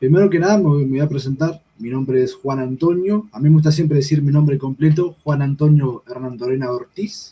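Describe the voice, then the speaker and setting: The voice has a dark, mellow tone and sounds somewhat breathy. It moves at a fairly quick pace with ordinary pitch variation. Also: man, fairly high pitch for a man. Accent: Uruguayan. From Uruguay. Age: 20s. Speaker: political activist. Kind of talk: political discussion on a livestream. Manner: hesitant, many fillers.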